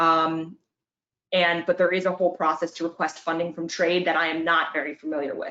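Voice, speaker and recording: A woman talks at a fairly quick pace in a fairly low pitch. Her tone is bright and sharp, her intonation monotone and flat. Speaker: workforce funding advisor. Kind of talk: webinar presentation. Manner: fast.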